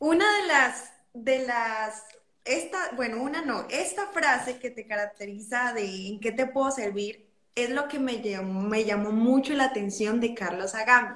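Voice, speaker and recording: This woman's high-pitched voice carries lively intonation at a fairly slow pace. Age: 20s. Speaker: psychologist and singer. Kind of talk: interview.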